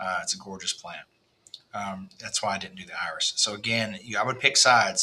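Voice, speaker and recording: A man with a Texas accent at a moderate pace. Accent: Texas twang. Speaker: landscape designer. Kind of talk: design walkthrough for a client. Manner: casual, with frequent fillers.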